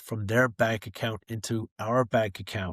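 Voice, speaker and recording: An unremarkable speaking voice from a man at medium pitch, with ordinary pitch variation and a moderate pace, dry and close with no echo on a very clean recording with a silent background. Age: 60s. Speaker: author and former fund manager. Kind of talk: podcast interview.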